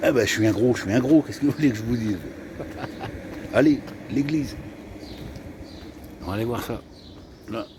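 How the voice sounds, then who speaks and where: A man speaks at a fairly quick pace with a medium pitch and ordinary pitch variation, leaving long, frequent pauses over noticeable background noise. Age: 60s. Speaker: travel vlogger. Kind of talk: casual vlog chat. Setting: outdoors. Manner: animated.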